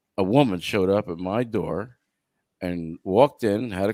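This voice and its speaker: A man's fairly low voice carries a dark, mellow tone, recorded very cleanly against a silent background with a dry, close sound and no echo. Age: 50s. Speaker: podcast co-host. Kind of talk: casual chat.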